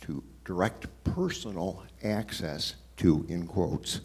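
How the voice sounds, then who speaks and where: A man speaks at a very slow pace. His very deep, low pitch carries a dark, mellow tone. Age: 70s. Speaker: audience member. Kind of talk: audience question.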